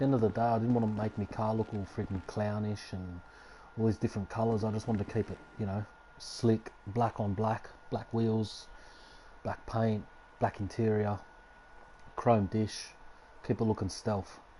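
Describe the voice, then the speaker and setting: In an Australian accent, a man with a fairly low pitch talks in a relaxed tone, flat and monotone, with long, frequent pauses. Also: moderate pace. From Australia, Sydney. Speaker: gaming streamer. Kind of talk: live stream gameplay commentary. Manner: casual, relaxed.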